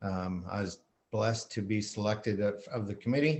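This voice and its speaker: At a moderate pace, a man speaks with a fairly low pitch. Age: 60s. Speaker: county commissioner candidate. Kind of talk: candidate forum speech. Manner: halting.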